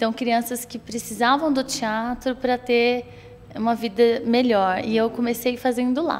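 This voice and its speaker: A woman talks slowly-ish, at a fairly slow pace, with fairly high pitch. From Brazil, São Paulo state interior (Espírito Santo do Pinhal area). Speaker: actress and theater teacher. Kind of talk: interview.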